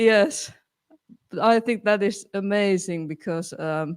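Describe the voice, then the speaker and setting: A woman speaks very slowly with a non-native accent. Her pitch sits in the medium range. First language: not English. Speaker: band singer. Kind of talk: casual chat. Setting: live stream. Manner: halting.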